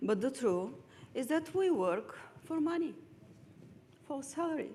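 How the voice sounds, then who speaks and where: With a Bulgarian accent, the voice has a dark, mellow tone, moves at a fairly slow pace with very wide pitch swings, and carries audible room echo. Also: woman, high pitch for a woman. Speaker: lawyer. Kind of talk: lecture.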